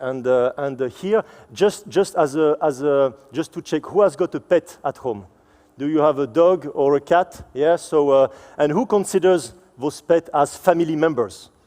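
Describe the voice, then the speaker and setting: Keeping a moderate pace, a man with a fairly high pitch speaks in a dark, mellow tone with lively intonation. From France. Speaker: supply chain executive. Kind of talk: conference presentation. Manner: halting, many fillers and repetitions.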